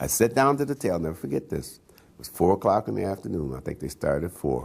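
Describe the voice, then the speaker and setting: Here a man talks with an American accent, his pitch very deep and low with vocal fry. His loudness swings widely. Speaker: jazz pianist. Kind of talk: oral history interview. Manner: halting, many fillers and repeats.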